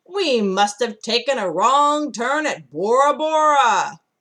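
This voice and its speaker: Put-on character voice, raised and projected, at a fairly slow pace. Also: woman, high pitch for a woman. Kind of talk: picture-book read-aloud character voice. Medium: read story. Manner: loud, hearty pirate talk.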